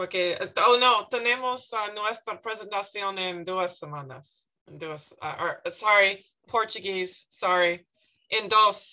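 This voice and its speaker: With an English accent and ordinary pitch variation, the speaker goes at a very slow pace with big swings in loudness against a quiet background. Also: woman. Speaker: student. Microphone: video call.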